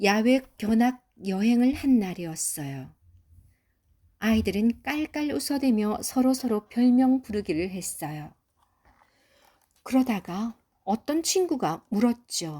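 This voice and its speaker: Very slowly and somewhat breathy, a woman with a fairly high pitch and a dark, mellow tone speaks with very wide pitch swings and long, frequent pauses. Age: old. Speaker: grandmother reading a picture book to her granddaughter. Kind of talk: children's storybook reading.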